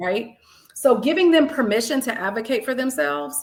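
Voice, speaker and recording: At a moderate pace, a woman talks in an animated tone. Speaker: math educator and leader. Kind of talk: interview. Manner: loud.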